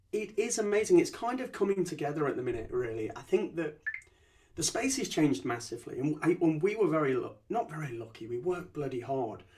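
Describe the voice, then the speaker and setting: Through noticeable background noise, a high-pitched man talks at a fairly quick pace. His pitch swings very widely. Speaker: company founder and CEO. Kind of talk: podcast interview. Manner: repeats words, stammering starts.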